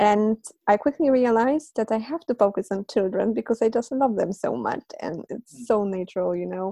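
The speaker has a Polish accent and a moderate pace. Pitch varies in an ordinary way, and the sound is dry and close with no echo. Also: woman. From Poland. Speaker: polyglot and language teacher. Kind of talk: interview, conversational.

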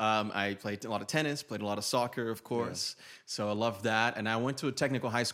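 In a Brazilian accent, the bright, sharp voice races at a very fast pace with hardly any pauses and fairly even intonation, on a very clean recording with a silent background. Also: man, medium pitch for a man. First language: Portuguese. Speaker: YouTuber and men's style coach. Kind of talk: casual podcast interview.

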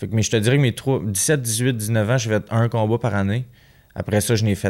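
A man with a normal speaking voice, fairly quick and fairly even in intonation, on a very clean recording with a silent background. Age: 20s. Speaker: professional boxer. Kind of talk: casual interview.

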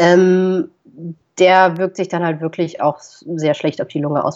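A woman with an ordinary speaking voice talks at a fairly slow pace with a fairly low pitch and ordinary pitch variation. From Germany, Düsseldorf. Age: 20s. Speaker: travel blogger and videographer. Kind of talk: casual interview.

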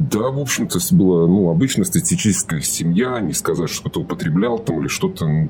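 Fairly low in pitch, a man talks at a fairly quick pace with hardly any pauses and very wide pitch swings. Noticeable background noise runs underneath. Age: 30s. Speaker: recovering alcoholic sharing his story. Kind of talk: personal testimony interview. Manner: halting, full of fillers.

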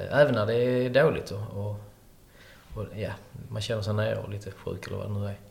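A man speaks at a fairly quick pace in a fairly low pitch, with fairly even intonation and long, frequent pauses. Audible room echo and noticeable background noise are present. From Skåne, Sweden (countryside near Hörby). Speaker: restaurant owner. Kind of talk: interview. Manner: halting.

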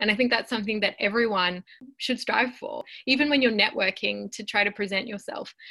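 Bright and sharp in tone, a woman speaks at a fairly high pitch with ordinary pitch variation. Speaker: podcast host; university student. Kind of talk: casual panel discussion. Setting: working from home, remote recording.

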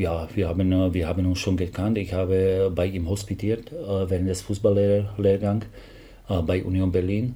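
With a Slovak accent, a man speaks in a very deep, low pitch and a dark, mellow, somewhat breathy tone, his intonation monotone and flat, with audible room echo. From Slovakia. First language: Slovak (speaking German). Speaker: football assistant coach. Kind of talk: interview. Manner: halting.

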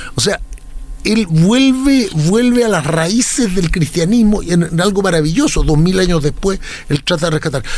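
With noticeable background noise behind him, a man speaks at a high pitch and a moderate pace, with lively intonation and very even loudness. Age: 60s. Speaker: lawyer, academic and writer. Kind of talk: interview conversation.

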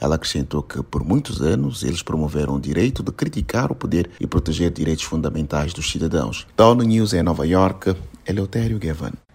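A man with a very deep, low voice talks at a fairly quick pace with hardly any pauses. His intonation is lively, and there is noticeable background noise. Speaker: UN news reporter. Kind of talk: news report reading. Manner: formal, steady, neutral newsreading.

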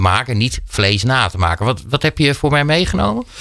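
A man talks in a normal speaking voice. His pace is fairly quick, with lively intonation. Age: 40s. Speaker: radio host. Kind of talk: casual chat. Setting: studio.

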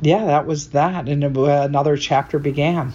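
Over noticeable background noise, a woman speaks with a very deep, low pitch and monotone, flat intonation. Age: 60s. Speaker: photographer. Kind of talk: interview. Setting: studio.

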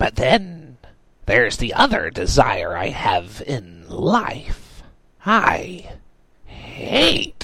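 In a put-on character voice, a man speaks very slowly with a raspy, shrill, high pitch and a menacing tone. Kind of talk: horror comedy villain. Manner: shrieking, erratic, menacing.

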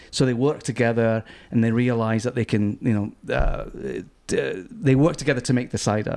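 With a Glaswegian accent, a man speaks at a moderate pace and medium pitch. His loudness stays very even, and his intonation is fairly even. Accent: Glaswegian Scottish. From Scotland, Glasgow. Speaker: cider importer and magazine publisher. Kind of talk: casual interview. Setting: venue with small live audience.

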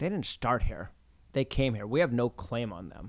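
A man with an American accent and a plain, everyday voice, medium pitch, fairly quick pace, very clean recording with a silent background. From US Pacific Northwest, Oregon coast. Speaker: venture capitalist. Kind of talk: interview.

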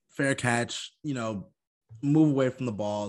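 An American-accented man with a normal speaking voice, medium pitch, ordinary pitch variation and moderate pace, against a quiet background. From Long Island, New York. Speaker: sports podcast co-host. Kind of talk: casual chat.

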